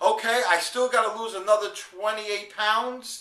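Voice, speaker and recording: With a raised, projected voice at a high pitch, a man speaks over noticeable background noise as room echo rings audibly. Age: 50s. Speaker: video blogger, network marketer. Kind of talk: video diary. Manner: casual, halting with fillers.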